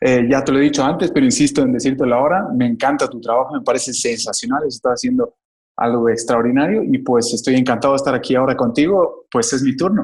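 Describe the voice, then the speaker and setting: Speaking very fast with lively intonation, a man with a Bolivian accent uses a fairly high pitch. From Bolivia, Cochabamba. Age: 30s. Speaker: economist, investment advisor. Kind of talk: interview.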